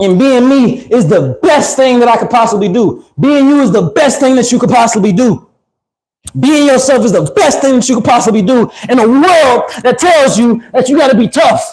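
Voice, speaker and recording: Speaking at a moderate pace and very even loudness, a man uses an extremely high pitch with an animated tone and lively intonation. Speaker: livestreamer. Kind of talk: livestream monologue.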